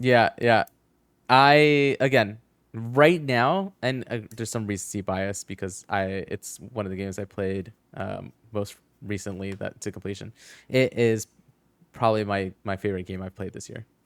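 A man with an unremarkable speaking voice talks at a fairly low pitch with ordinary pitch variation. His loudness swings widely, and the sound is dry and close with no echo. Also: moderate pace. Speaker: gaming podcast host. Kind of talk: casual chat. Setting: online call, livestream.

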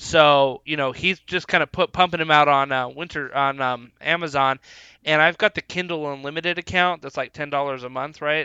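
Fairly high for a man, his pitch carries a normal speaking voice. He moves at a fairly quick pace with fairly even intonation. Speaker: podcast host. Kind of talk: casual chat.

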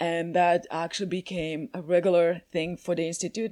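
With a Croatian accent, a woman speaks at a fairly low pitch and fairly even intonation on a very clean recording with a silent background. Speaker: coaching method instructor and coach. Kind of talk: interview podcast. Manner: halting, frequent repetitions.

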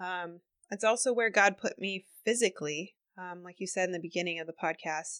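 A woman with a plain, everyday voice speaks at a medium pitch and a fairly quick pace, with ordinary pitch variation. Her loudness swings widely against a quiet background. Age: 30s. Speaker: health center worker. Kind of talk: casual conversation.

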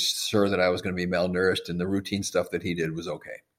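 Here is a man with an American accent. He speaks at a very fast pace. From US Midwest, Madison, Wisconsin. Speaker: physician and supplement maker. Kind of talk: interview.

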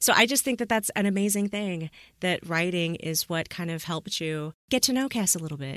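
The intonation is lively and the pace fairly quick. The recording is very clean with a silent background and a dry, close sound with no echo. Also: woman, medium pitch for a woman. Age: 30s. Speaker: podcast host. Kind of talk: casual interview. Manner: animated.

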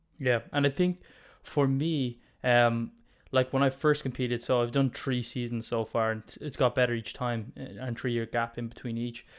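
In a very clean recording with a silent background, a man speaks with an Irish accent in a medium pitch with fairly even intonation. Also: moderate pace. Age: 20s. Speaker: podcast host, natural bodybuilder. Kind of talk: casual interview.

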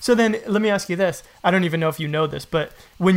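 A man at a fairly quick pace with fairly even intonation. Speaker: podcast host and woodworker. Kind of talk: casual interview. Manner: fast.

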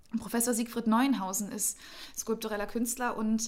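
This woman's pitch is fairly high. Her delivery has a somewhat breathy quality. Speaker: civic association director. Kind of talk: casual interview. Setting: studio.

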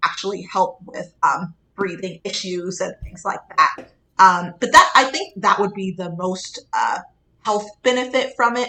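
With an American accent, this voice has a bright, sharp tone, moves at a fairly slow pace and shows big swings in loudness. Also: woman. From Pittsburgh, Pennsylvania. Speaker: pediatric dentist. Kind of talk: interview.

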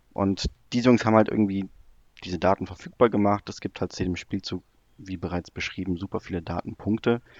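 A man's plain, everyday voice, fairly low and fairly quick, with fairly even intonation, in a dry, close sound with no echo over a quiet background. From Germany, near Cologne. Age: 20s. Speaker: football analytics blogger. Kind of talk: podcast interview, casual chat. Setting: remote call.

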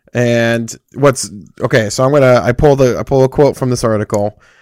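At a moderate pace, a man speaks in an unremarkable speaking voice with medium pitch and fairly even intonation, the sound dry and close with no echo. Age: 30s. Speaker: gaming podcast host. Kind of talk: casual chat.

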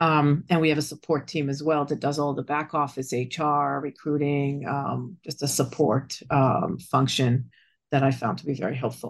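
Against a quiet background, a woman with a very deep, low pitch and vocal fry speaks at a moderate pace with fairly even intonation. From Israel. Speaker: business operations consultant. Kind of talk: interview.

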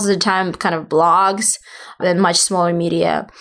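A woman's medium-pitched voice in a Russian accent, at a fairly slow pace. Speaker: PR agency founder. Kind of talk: interview. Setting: in person in Miami.

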